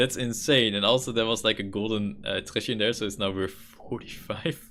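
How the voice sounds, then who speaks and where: This man speaks with a Dutch accent. His pace is fairly quick. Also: medium pitch for a man, ordinary pitch variation. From Netherlands. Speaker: gaming streamer. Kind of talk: live gameplay commentary. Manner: casual, thinking aloud with fillers.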